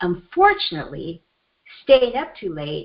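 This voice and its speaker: A woman speaks with a Japanese accent at a fairly high pitch. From Japan, moved to US at age seven. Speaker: self-help coach and author. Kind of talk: coaching teleseminar talk. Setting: phone teleconference call.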